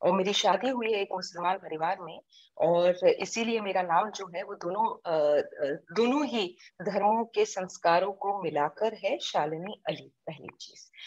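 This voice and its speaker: This woman has a plain, everyday voice at medium pitch with ordinary pitch variation. Her loudness swings widely and she hardly pauses. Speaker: social activist, NGO founder. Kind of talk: interview.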